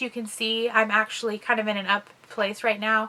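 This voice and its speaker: Speaking at a fairly quick pace, a woman uses a fairly high pitch. Her voice is higher than average. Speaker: mental health vlogger. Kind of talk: casual explainer vlog. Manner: fast.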